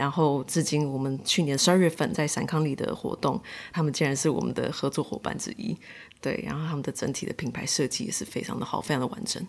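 A woman with a Taiwanese accent, very deep and low in pitch, very fast, with ordinary pitch variation. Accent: Taiwanese Mandarin. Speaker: market organiser and co-founder. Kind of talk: interview conversation.

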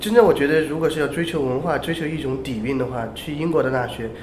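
A man races along at a very fast pace with ordinary pitch variation, with audible room echo and noticeable background noise around him. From China. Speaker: podcast co-host, English educator. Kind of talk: casual chat.

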